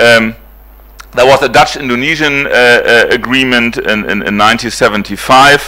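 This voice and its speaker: A man with a German accent, at a moderate pace. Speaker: professor. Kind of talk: lecture. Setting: conference hall with audience. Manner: halting, many fillers.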